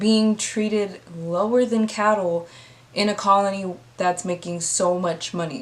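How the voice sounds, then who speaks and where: A speaker talks at a fairly slow pace with ordinary pitch variation in an ordinary speaking voice. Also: woman. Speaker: history storyteller. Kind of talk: casual educational talk to camera. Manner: casual, conversational.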